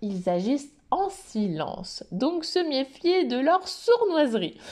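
A dark, mellow tone marks this voice. It belongs to a woman. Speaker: animal naturopath and podcast host. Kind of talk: solo educational podcast monologue.

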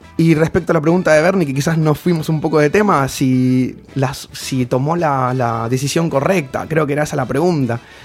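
Against noticeable background noise, a man talks at a moderate pace in a northern Argentine accent. His voice sits fairly high, and he barely pauses. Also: ordinary pitch variation. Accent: regional northern Argentine lilt. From Formosa, northern Argentina. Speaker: life coach. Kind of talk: casual chat.

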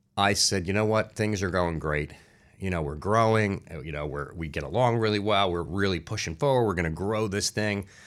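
In a New Jersey accent, a man talks at a fairly quick pace with fairly low pitch and ordinary pitch variation. The recording is very clean, with a silent background. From New Jersey (Newark, Irvington). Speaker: marketing entrepreneur. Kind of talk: interview.

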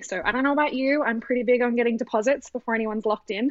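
Energetic and very fast, a woman with an Australian accent speaks in a dry, close sound with no echo. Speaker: business operations coach for photographers. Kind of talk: casual interview. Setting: video call from Australia.

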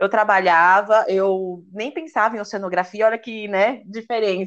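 Her pitch is medium and shows ordinary variation as a woman talks at a moderate pace. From Brazil, São Paulo. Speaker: oceanography student and influencer. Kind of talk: casual chat.

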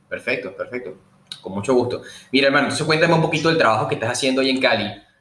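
Male voice at a medium pitch, ordinary pitch variation, audible room echo. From Venezuela, Puerto Cabello. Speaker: podcast host. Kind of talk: casual interview; news reading.

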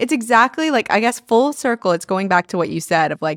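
A woman with an ordinary speaking voice, fairly high-pitched, talks at a fairly quick pace with lively intonation. The recording is very clean with a silent background and a dry, close sound with no echo. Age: 20s. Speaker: podcast host. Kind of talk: casual chat.

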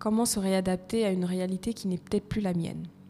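With an Ivorian accent, a woman at medium pitch speaks at a moderate pace in a monotone, flat intonation. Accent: French with Ivorian touch, kept. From Côte d'Ivoire, part Malagasy. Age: 30s. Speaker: HR consultant and coach. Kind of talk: podcast interview.

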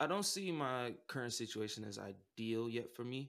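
A man talks at a medium pitch in an American accent, with an unremarkable speaking voice and ordinary pitch variation. The recording is very clean, with a silent background. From Omaha, Nebraska (US Midwest). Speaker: musician. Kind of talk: casual interview.

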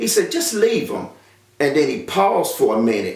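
A man speaks with a North Carolina accent, and the room echo is audible. There is noticeable background noise as well. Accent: Southern US, North Carolina. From US South, rural North Carolina. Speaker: testimony giver. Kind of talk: personal testimony. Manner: halting, many filler sounds.

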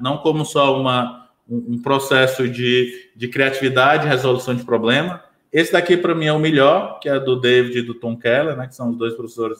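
The speaker talks in a Ceará accent at a moderate pace. The intonation stays fairly even. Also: man. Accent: Brazilian Portuguese, Ceará. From Brazil, Ceará (Sobral). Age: 30s. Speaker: business consultant. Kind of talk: casual interview. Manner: hesitant fillers, frequent né/entendeu.

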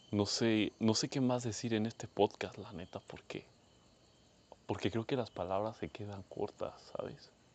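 A man speaks with a Mexican accent at a fairly low pitch. His pace is fairly slow and his intonation fairly even. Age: 20s. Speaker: podcaster. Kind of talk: personal monologue.

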